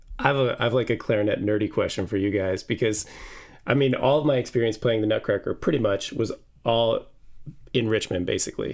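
Over a quiet background, a man speaks very fast in a medium pitch, keeping his loudness very even and his intonation fairly even. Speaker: orchestral clarinetist. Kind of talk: casual chat. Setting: video call. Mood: warm, enthusiastic. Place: home room.

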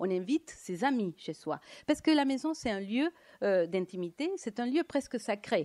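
Speaking at a fairly slow pace in a quiet setting, a woman with a Latin American accent uses very wide pitch swings in a dark, mellow tone. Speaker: economist and lecturer; lecturer. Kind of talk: lecture. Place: hall. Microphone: handheld.

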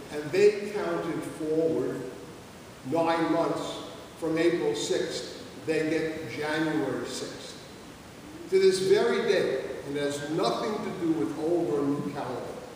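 Over light background noise, a man talks at a very slow pace, and strong room echo surrounds his voice. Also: ordinary pitch variation. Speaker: Orthodox priest. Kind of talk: sermon. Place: church. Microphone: camera far.

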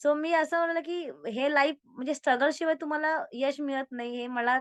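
A woman's high voice with ordinary pitch variation and a dry, close sound with no echo. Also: quiet background. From Karad, Satara district, Maharashtra. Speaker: corporate employee and social worker. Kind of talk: interview.

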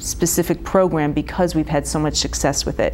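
A woman talking at a fairly quick pace, with light background noise. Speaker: guest. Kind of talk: interview answer. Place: studio.

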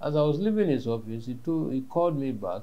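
The tone is dark and mellow. It belongs to a man. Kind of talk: interview answer. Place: home room.

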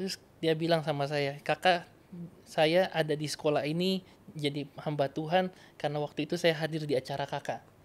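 Speaking at a fairly quick pace, a man uses monotone, flat intonation at a fairly high pitch. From North Sulawesi, Indonesia; Indonesia. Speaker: evangelist. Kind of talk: interview testimony. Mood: warm, earnest. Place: studio. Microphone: studio mic.

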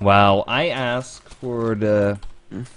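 A man's fairly low voice at a very slow pace. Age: 20s. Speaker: Minecraft streamer. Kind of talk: casual live-stream chat. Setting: live stream with mic and face cam. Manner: animated, laughs often.

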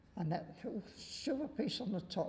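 Male voice with a dark, mellow tone. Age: 80s+. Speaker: war veteran, museum guide. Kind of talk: museum tour guide talk. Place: hall. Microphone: lapel.

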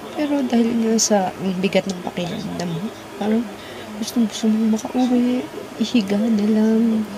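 Against noticeable background noise, a woman speaks with fairly even intonation. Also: moderate pace. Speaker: vlogger. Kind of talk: casual vlog chat, emotional storytelling. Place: home room. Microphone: phone near.

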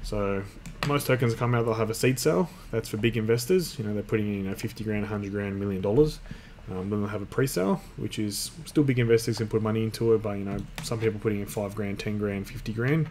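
A man talks at a very fast pace with a fairly low pitch. His pitch varies in an ordinary way, with light background noise. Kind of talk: tutorial. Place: home room. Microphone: webcam.

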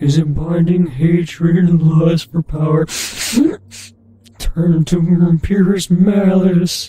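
A put-on character voice at middle pitch speaks with monotone, flat intonation at a fairly slow pace, leaving long, frequent pauses. Music plays in the background. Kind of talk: comic overacting. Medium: game stream. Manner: grave, solemn.

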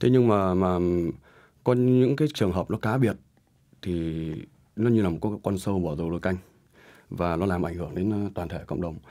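Over a quiet background, a man with a very deep, low pitch and a dark, mellow tone talks at a fairly quick pace with ordinary pitch variation and long, frequent pauses. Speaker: nail supply business director. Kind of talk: panel discussion. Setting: studio. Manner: halting. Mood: earnest, somewhat concerned. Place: studio. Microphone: studio mic.

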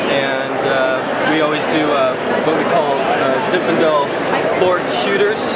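Over crowd noise in the background, a man speaks at a fairly slow pace. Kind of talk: interview answer. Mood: relaxed, friendly. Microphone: phone near.

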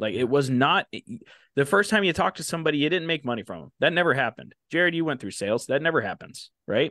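Over a quiet background, a man speaks at a very fast pace with vocal fry and big swings in loudness, the sound dry with no echo. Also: lively intonation. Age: 20s. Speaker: phone flipping coach. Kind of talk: casual chat. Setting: livestream. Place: home room. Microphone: studio mic.

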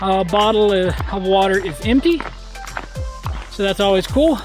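A man speaks in a dry sound with no echo while clear music plays in the background. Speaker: mountain biker vlogger. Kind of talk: casual vlog chat. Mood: joking despite struggle. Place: forest. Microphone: phone near.

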